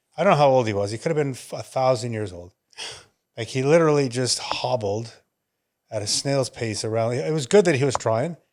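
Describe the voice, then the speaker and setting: With ordinary pitch variation and a medium pitch, a man talks at a moderate pace in a very clean recording with a silent background. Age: 60s. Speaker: wellness podcast co-host. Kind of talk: casual chat.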